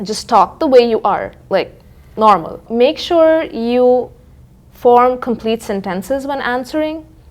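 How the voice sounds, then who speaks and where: Pausing long and often, a woman speaks at a fairly slow pace. Her voice is high-pitched with lively intonation. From India, Dehradun. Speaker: former international student. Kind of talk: interview.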